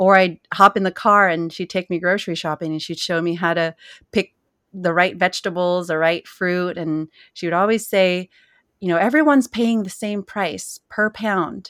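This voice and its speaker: In a Californian accent, a woman talks at a medium pitch with ordinary pitch variation. The recording is very clean with a silent background and a dry, close sound with no echo. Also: moderate pace. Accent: Californian American English. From US West Coast, San Jose, California. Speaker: cookbook author and farmer. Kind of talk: interview.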